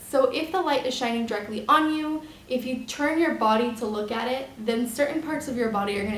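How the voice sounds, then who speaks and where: Amid noticeable background noise and audible room echo, a woman with a high voice talks at a fairly quick pace with ordinary pitch variation. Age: 20s. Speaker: model and photographer. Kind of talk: tutorial. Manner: casual, filler-heavy.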